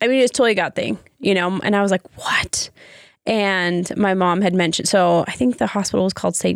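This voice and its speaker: A normal speaking voice at a moderate pace, very even in loudness, with a dry, close sound and no echo. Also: woman. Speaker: podcast co-host.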